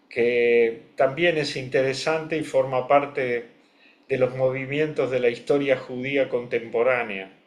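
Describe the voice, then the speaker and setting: A man with a Rioplatense accent speaks at a medium pitch. His pace is fairly slow and his intonation fairly even. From Argentina, Buenos Aires. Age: 70s. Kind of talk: interview. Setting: video call.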